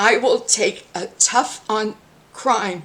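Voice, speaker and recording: With an American accent, a woman speaks at a fairly high pitch over noticeable background noise. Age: 60s. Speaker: mayoral candidate. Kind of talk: reading aloud a campaign statement; political commentary vlog.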